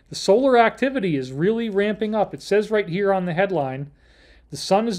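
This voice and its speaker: A man with an American accent, moderate pace and ordinary pitch variation. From Upstate New York. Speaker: livestream host on alternative topics. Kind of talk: solo livestream talk. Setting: hotel room. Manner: loud; animated.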